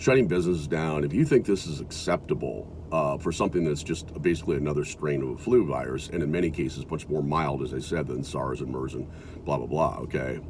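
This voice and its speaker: Someone with an American accent speaks at a fairly quick pace. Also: man. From US Midwest (South Dakota). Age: 60s. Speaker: video blogger. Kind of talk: casual monologue. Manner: halting.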